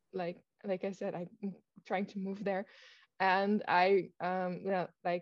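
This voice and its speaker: A woman's medium-pitched voice with a Dutch accent, at a fairly slow pace. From Netherlands. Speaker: author. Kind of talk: casual chat. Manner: halting, many fillers.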